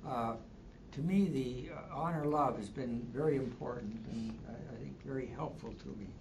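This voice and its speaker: A man's medium-pitched voice at a moderate pace, ordinary pitch variation, and noticeable background noise. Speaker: spouse caregiver. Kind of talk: support group discussion. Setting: in-person class.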